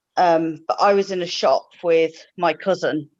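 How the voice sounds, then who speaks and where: The speaker has an English accent, heard against a quiet background. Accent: very English. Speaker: live chat participant. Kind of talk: casual chat.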